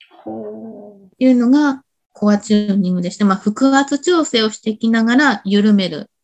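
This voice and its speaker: A woman's somewhat breathy, fairly high voice at a moderate pace, with big swings in loudness. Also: ordinary pitch variation. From Shimizu, Shizuoka, Japan. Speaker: body-work instructor. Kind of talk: interview chat. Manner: halting, many fillers.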